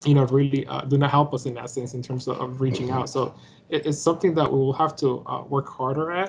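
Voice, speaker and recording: Someone with a Spanish accent talks at a very fast pace. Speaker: academic panelist. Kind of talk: conference panel talk. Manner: halting, many fillers.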